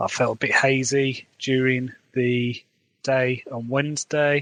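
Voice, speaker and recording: A man in a Midlands accent, medium in pitch, monotone and flat, at a very slow pace. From English Midlands, Wolverhampton. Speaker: fantasy author, podcaster. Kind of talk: podcast diary monologue.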